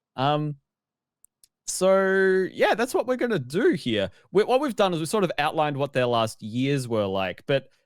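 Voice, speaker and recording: Very wide pitch swings mark this moderately paced speech in an Australian accent, recorded very cleanly with a silent background. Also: man, fairly high pitch for a man. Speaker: video games podcast host. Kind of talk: casual chat. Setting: live-streamed podcast.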